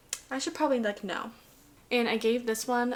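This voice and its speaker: Through noticeable background noise, a woman rattles off her words at a very fast pace. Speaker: book reviewer vlogger. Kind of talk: casual book review monologue. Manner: animated.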